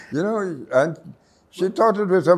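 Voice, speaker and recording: At a fairly quick pace, a man is speaking. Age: 80s+. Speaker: writer. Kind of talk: interview answer.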